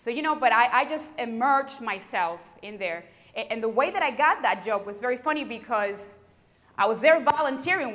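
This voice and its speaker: In a strong Puerto Rican accent, a woman speaks at a moderate pace with an animated tone and lively intonation. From Puerto Rico. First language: Spanish. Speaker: sheriff's deputy and keynote speaker. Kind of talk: keynote speech. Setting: university convocation with audience.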